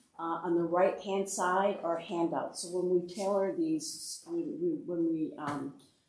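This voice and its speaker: Ordinary pitch variation comes through amid audible room echo and noticeable background noise. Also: woman. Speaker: education association director, former superintendent. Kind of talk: workshop presentation. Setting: board meeting room, in person. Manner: fast; many fillers (uh, um).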